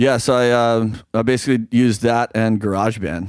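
A man in a plain, everyday voice, medium in pitch, with an American accent and a moderate pace. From US South, Oxford, Mississippi. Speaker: rock musician. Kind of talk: casual chat.

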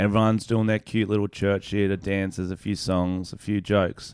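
On a very clean recording with a silent background, a man with an Australian accent speaks at a fairly quick pace and fairly low pitch, his intonation monotone and flat. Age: 20s. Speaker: podcast co-host and comedian. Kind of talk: casual chat.

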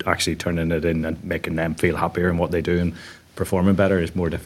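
In a Northern Irish accent, a man talks at a very fast pace. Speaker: podcast host. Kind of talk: interview. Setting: on a stage.

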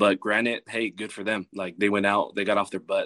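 An American man speaks at a fairly quick pace in a fairly low, monotone, flat voice with a bright, sharp tone. The sound is dry and close with no echo. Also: quiet background. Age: 20s. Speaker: college football coach. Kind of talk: casual chat.

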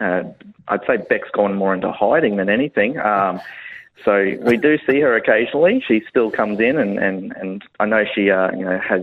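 A man talks with an Australian accent at a fairly low pitch. His pitch varies in an ordinary way. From Australia, North Queensland. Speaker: business owner. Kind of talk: casual chat. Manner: halting, many fillers.

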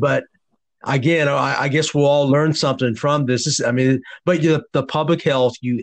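Heard at a moderate pace, a normal speaking voice keeps very even loudness and fairly even intonation. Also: man. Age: 50s. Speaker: podcast host, basketball coach. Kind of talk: interview. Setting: phone call.

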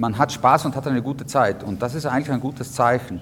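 His intonation stays fairly even as the man speaks. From South Tyrol, Italy (Innichen). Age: young. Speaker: historian and museum curator. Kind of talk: guided tour interview. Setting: on location at a mountain fortress. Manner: hesitant with many fillers.

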